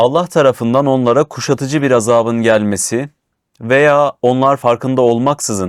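In a very clean recording with a silent background and a dry, close sound with no echo, a man uses a normal speaking voice at a medium pitch, with ordinary pitch variation and a moderate pace. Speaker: show host. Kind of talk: religious discussion reading verses aloud.

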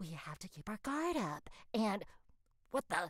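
This is a put-on character voice. It sounds female. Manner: irritated, sarcastic.

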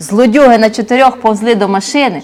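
Natural-voiced reading aloud.

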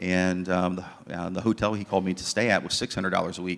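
A man with an American accent speaks in a very deep, low voice. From southern Ohio, US. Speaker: ministry leader; guest. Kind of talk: testimony. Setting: church. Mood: earnest, reflective. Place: church. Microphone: handheld.

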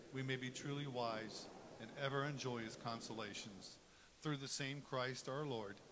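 Background noise is noticeable throughout. The man's intonation stays fairly even. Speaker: cantor or music minister. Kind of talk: liturgical welcome and led prayer. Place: church.

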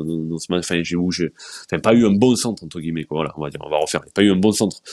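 Recorded dry with no echo and a quiet background, a man talks with ordinary pitch variation. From France, Marseille. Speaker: sports journalist. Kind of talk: casual chat. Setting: video stream. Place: home room. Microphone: earbuds.

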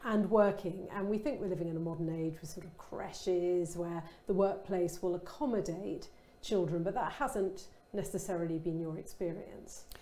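A woman speaks at a moderate pace with a southern English accent and ordinary pitch variation. Room echo is audible. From Kent, England. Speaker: interviewer. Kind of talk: casual chat. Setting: online event. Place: studio. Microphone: lapel.

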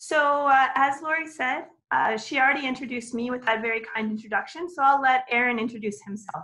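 With a raised, projected voice, a woman speaks at a fairly quick pace and high pitch, her tone bright and sharp, her pitch varying in an ordinary way and her speech hardly pausing. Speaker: professor. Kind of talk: webinar lecture. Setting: online webinar.

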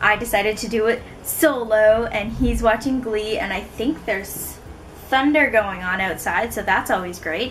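Against light background noise, a woman speaks at a moderate pace with ordinary pitch variation. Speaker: book vlogger. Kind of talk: casual vlog chat. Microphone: camera far.

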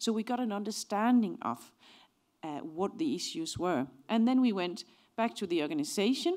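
A woman speaks with a Danish accent at a medium pitch. Her intonation is lively, and the background is quiet. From Denmark. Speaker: organizational psychology professor. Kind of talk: lecture. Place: hall. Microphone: handheld.

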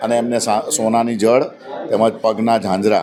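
A man against noticeable background noise. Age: 50s. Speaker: local politician, former councillor. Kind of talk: speech to reporters.

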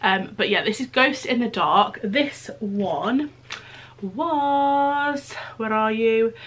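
A woman speaks with a British accent and lively intonation. Noticeable background noise is present. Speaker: beauty YouTuber. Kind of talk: casual product haul video. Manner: chatty, informal.

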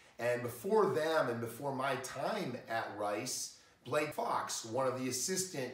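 A man's speech, moderately paced and with normal rises and falls in pitch, carries a clear echo from the room. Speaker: college baseball coach. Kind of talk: interview answers. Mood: warm, praising.

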